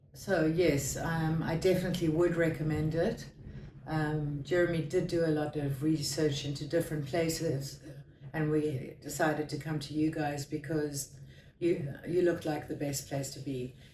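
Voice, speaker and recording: A woman's very deep, low voice at a moderate pace, with monotone, flat intonation and audible room echo. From South Africa. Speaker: patient giving testimonial. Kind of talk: interview testimonial. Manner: halting.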